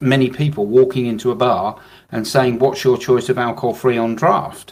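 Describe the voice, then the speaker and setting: This man has a British accent and keeps to a moderate pace. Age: 60s. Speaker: business owner, alcohol-free drinks distributor. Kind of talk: business advice podcast discussion.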